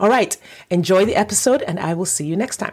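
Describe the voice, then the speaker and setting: Here a woman speaks with lively intonation. The recording is very clean, with a silent background. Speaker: dating coach. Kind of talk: podcast intro. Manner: fast.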